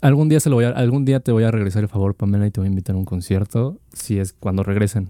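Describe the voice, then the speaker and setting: In a Mexican accent, the voice runs at a very fast pace with hardly any pauses, dark and mellow in tone with ordinary pitch variation and a dry, close sound with no echo. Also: man, fairly low pitch for a man. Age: 20s. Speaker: student podcast co-host. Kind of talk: casual chat.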